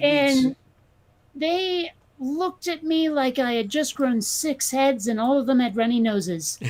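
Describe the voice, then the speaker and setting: In a New England accent, a woman speaks at a high pitch and a fairly slow pace with lively intonation, with noticeable background noise. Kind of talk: casual, storytelling.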